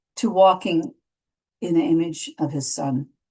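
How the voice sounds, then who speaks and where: A woman's dark, mellow tone, fairly low in pitch, at a fairly slow pace. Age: 60s. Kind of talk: devotional teaching. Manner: casual, halting with fillers.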